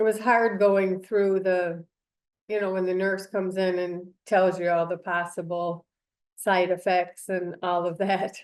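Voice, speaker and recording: A woman speaks at a fairly slow pace. Her medium pitch stays monotone, with flat intonation. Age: 60s. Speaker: cancer patient, clinical trial participant. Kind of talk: interview testimony. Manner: hesitant, many fillers.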